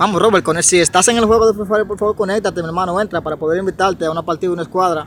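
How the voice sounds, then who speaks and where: A man with a high voice talks very fast in an animated tone. The sound is dry with no echo, over light background noise. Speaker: gaming streamer. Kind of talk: live gameplay commentary. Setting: live stream. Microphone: phone near.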